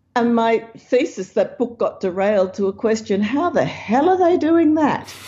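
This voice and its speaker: In an Australian accent, a woman at a high pitch makes very wide pitch swings at a moderate pace, with very even loudness. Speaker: science author and researcher. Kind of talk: interview.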